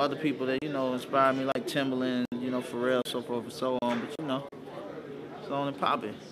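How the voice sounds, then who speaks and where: Amid noticeable background noise and audible room echo, a man speaks fairly quickly at medium pitch with monotone, flat intonation. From US South, Montgomery, Alabama. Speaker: hip-hop producer and rapper. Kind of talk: interview. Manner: casual, filler-heavy.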